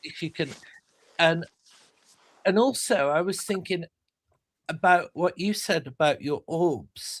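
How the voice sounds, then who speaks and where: The delivery is fairly slow, with long, frequent pauses and ordinary pitch variation. The sound is dry and close, with no echo. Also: man, high pitch for a man. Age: 50s. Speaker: paranormal show host. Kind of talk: casual chat.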